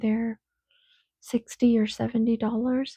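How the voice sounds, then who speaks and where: A soft-spoken woman's fairly high, somewhat breathy voice with monotone, flat intonation. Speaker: podcaster. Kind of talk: casual monologue. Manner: rambling, hesitant.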